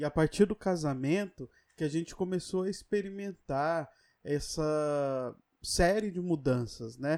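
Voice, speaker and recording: A plain, everyday voice moves at a fairly slow pace with ordinary pitch variation. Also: man, fairly high pitch for a man, very clean recording, silent background. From São Paulo. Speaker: podcast co-host. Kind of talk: casual chat.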